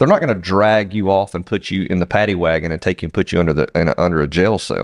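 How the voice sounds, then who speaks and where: In a Southern US accent, a man speaks at a very fast pace with hardly any pauses, in a very deep, low pitch with ordinary pitch variation. The background is quiet and the sound dry and close, with no echo. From US South. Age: 40s. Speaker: podcast co-host, business owner. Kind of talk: casual chat.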